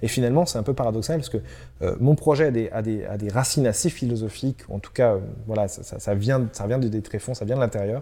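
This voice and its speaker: Very fast speech from a man of medium pitch, dark and mellow in tone with ordinary pitch variation, on a very clean recording with a silent background. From central France (Loiret). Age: 20s. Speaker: startup founder. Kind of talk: interview. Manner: hesitant with fillers and repetitions.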